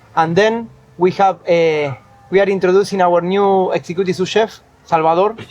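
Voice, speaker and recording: Over music in the background, a man keeps his intonation fairly even and speaks at a fairly quick pace. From Argentina. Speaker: chef. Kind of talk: interview.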